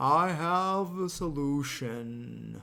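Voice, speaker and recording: A put-on character voice from a man, fairly high in pitch, with ordinary pitch variation. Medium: read story. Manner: slow, terse, measured.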